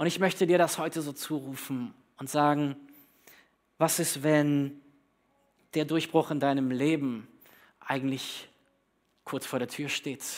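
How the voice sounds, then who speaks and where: Moderately paced speech from a man, his pitch fairly high and varying in an ordinary way. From Germany, Berlin (born in northern Hesse). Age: 30s. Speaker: pastor. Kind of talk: sermon.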